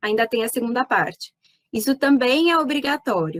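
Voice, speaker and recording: A high-pitched woman at a moderate pace, with ordinary pitch variation, in a dry, close recording with no echo. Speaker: animal scientist, pet nutrition consultant. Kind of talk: lecture. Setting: online talk. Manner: animated.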